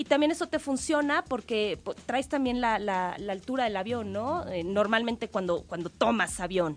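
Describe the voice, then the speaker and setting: This woman has a normal speaking voice with a fairly high pitch. Her intonation is lively and her pace moderate. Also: quiet background. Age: 20s. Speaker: triathlete and cycling expert. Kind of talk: radio interview.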